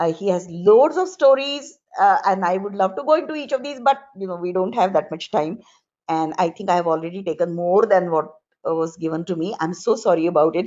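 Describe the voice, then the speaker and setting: A woman with a Marathi accent speaks at a moderate pace in a fairly low voice, her intonation lively. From rural Maharashtra, India. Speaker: professor. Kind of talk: panel talk.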